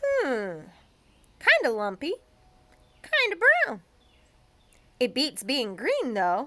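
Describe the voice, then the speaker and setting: A woman speaks very slowly in a high-pitched, put-on character voice, with long, frequent pauses. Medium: read story. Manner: excitable.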